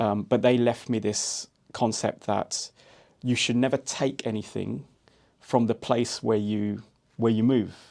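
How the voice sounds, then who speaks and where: A man at medium pitch with a London accent, monotone and flat in intonation, at a fairly slow pace. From London, England. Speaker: entrepreneur. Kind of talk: podcast interview. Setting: studio.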